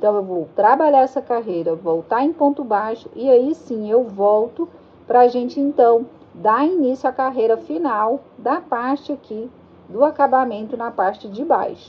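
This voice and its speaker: This high-pitched woman talks fairly slowly. Lively intonation runs through her speech. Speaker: crochet teacher. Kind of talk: tutorial.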